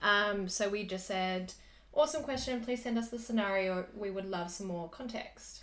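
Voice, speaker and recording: Here a woman talks with an Australian accent. Her pitch varies in an ordinary way. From Australia (Sydney). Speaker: podcast co-host. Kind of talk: casual chat.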